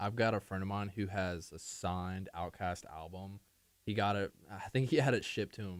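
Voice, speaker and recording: An unremarkable speaking voice from a man, fairly low in pitch, at a moderate pace, on a very clean recording with a silent background. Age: 20s. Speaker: student radio DJ. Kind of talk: casual chat.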